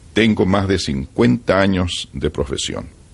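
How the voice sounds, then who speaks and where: A man's fairly low voice with vocal fry. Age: 70s. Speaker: veteran radio announcer. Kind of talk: interview.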